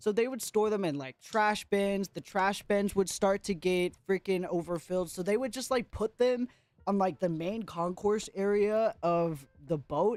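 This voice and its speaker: The voice has an animated tone at a fairly slow pace. There are hardly any pauses. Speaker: streamer. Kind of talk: casual livestream chat.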